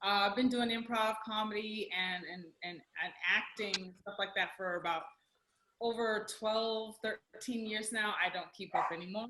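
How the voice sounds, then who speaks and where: This woman has a plain, everyday voice with an American accent and fairly high pitch. She talks at a fairly slow pace with fairly even intonation. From Houston, Texas. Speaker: improviser and actor. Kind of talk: panel introduction.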